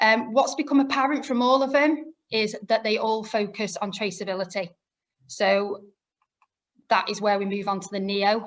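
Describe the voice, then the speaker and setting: With a Lancashire accent, a woman speaks at a fairly high pitch and moderate pace with ordinary pitch variation. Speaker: product specialist presenter. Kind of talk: webinar presentation. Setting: online webinar.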